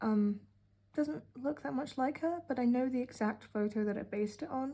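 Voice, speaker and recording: With a British accent, a woman speaks in a high pitch with a dark, mellow tone and ordinary pitch variation. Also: moderate pace. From UK. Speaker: art hobbyist vlogger. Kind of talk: casual narration. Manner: sarcastic.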